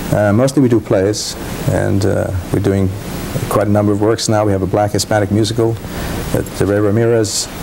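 Noticeable background noise sits behind a man speaking at a fairly quick pace. His voice is fairly low, with monotone, flat intonation. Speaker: guest. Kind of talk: interview answer. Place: studio.

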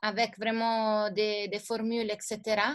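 Quiet background behind a woman talking. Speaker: teacher. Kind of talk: lecture. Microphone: video call.

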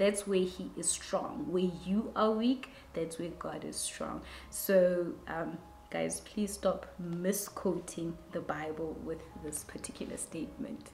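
A woman with vocal fry and a dark, mellow tone speaks at a very slow pace with ordinary pitch variation. There is audible room echo and light background noise. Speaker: vlogger. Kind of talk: casual vlog chat. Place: home room.

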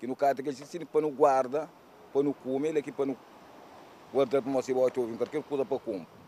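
With a dark, mellow tone and fairly high pitch, a man talks at a very fast pace broken by long, frequent pauses, his intonation fairly even, his loudness swinging widely, all in a dry sound with no echo over light background noise. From Cape Verde. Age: 60s. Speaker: fisherman; interviewee. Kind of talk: interview. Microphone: handheld.

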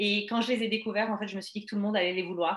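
Against a quiet background with audible room echo, a woman speaks at a medium pitch with a slight French accent. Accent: slight France French. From France. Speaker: network marketing business presenter; presenter. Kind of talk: sales pitch. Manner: hesitant, many fillers. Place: home room. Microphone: webcam.

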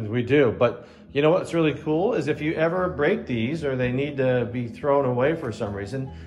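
Faint music plays in the background. A man speaks at a moderate pace with hardly any pauses. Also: ordinary pitch variation. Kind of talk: casual vlog chat. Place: home room. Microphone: phone near.

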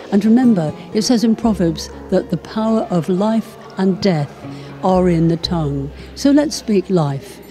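Over clear background music, a woman with a medium pitch speaks at a fairly slow pace with lively intonation. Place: home room. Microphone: handheld.

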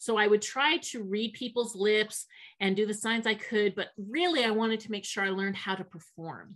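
Against a quiet background, a woman talks at a moderate pace in a normal speaking voice, fairly high in pitch with ordinary pitch variation. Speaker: sign language interpreter voicing a deaf guest; guest. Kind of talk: interpreted interview, first-person voicing. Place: home room. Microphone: video call.

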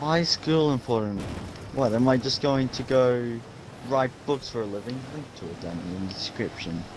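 Against noticeable background noise, a man at medium pitch speaks at a moderate pace with lively intonation. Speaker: gamer. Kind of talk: casual gameplay chat. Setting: online voice chat. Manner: animated.

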